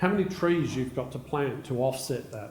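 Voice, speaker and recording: The speaker uses lively intonation at a moderate pace, with audible room echo. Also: man. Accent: Australian. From Australia. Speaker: technology executive. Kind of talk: conference keynote talk.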